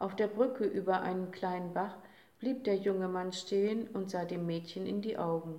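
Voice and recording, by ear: The text is read aloud in a natural voice.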